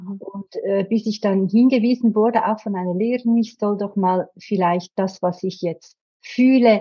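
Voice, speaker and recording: This woman speaks at a medium pitch and a fairly slow pace. Her voice is somewhat breathy, with fairly even intonation. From Switzerland. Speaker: therapist. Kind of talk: casual chat.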